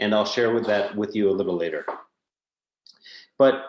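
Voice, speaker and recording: There is audible room echo as a man speaks with an American accent. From United States. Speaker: company executive. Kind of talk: conference presentation.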